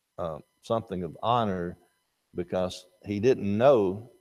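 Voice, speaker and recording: A man with an Alabama accent talks at a fairly slow pace in a dark, mellow tone. His pitch varies in an ordinary way, and the recording is very clean with a silent background. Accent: Southern US (Alabama). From US South, North Alabama. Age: 70s. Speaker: Bible class teacher. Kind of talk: Bible class lecture.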